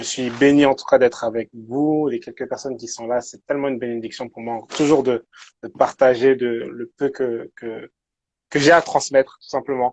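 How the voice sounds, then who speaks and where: This man speaks at a medium pitch. His intonation stays fairly even. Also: moderate pace, big swings in loudness. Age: 20s. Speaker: youth pastor and social worker. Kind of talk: casual interview chat. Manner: halting, many repetitions.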